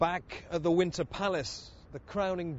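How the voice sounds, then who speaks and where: Somewhat breathy and fairly high in pitch, a man talks at a fairly slow pace. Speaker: TV news reporter. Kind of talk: TV news report narration.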